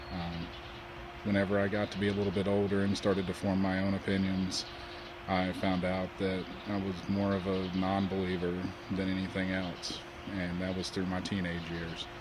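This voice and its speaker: A man with a Southern US accent speaks at a moderate pace in a very deep, low pitch and monotone, flat intonation, with audible room echo. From US South, North Carolina. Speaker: web designer sharing personal story. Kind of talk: personal testimony.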